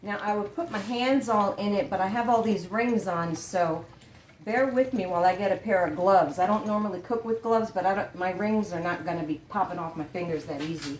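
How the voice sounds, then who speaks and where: A woman's animated, fairly quick delivery at a medium pitch, with ordinary pitch variation. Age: 60s. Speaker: cooking channel host. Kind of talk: casual cooking tutorial. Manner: chatty, animated.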